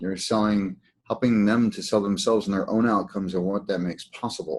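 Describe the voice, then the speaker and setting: Against a quiet background, a man with a fairly low pitch and a dark, mellow tone speaks at a fairly quick pace. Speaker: healing practice coach. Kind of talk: webinar teaching. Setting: online webinar. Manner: fast.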